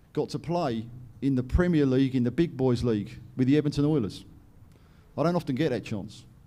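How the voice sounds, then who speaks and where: A man with an English accent, a dark, mellow tone and fairly high pitch, at a fairly quick pace with ordinary pitch variation. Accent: English accent noted as funny. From England, London. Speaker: company director and presenter. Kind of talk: conference presentation. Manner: animated.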